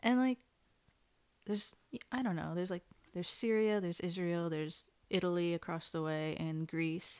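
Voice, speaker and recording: In a General American accent, a woman with a fairly low pitch and ordinary pitch variation speaks with long, frequent pauses. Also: moderate pace. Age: 20s. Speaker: guest, former mentee. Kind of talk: casual chat. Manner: soft-spoken, shy.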